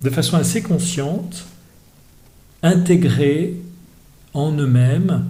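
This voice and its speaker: A man at a very slow pace and fairly high pitch, with ordinary pitch variation, noticeable background noise and audible room echo. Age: 60s. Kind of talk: podcast interview. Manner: hesitant, many fillers.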